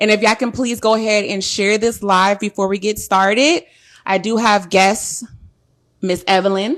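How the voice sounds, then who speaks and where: Keeping her intonation fairly even, a woman talks at a medium pitch and a moderate pace. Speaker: podcast host. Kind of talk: casual chat. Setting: live stream. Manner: loud.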